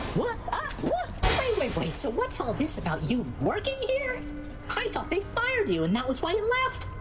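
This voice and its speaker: A put-on character voice comes at a moderate pace over loud background noise. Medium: machinima.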